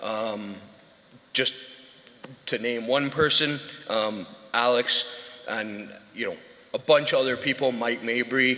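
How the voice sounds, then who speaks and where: Noticeable background noise runs under this recording. A man talks at a medium pitch with ordinary pitch variation. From Scotland, rural farming background. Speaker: award winner, installation business owner. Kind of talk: acceptance speech. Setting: awards show stage with audience. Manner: halting, many filler words.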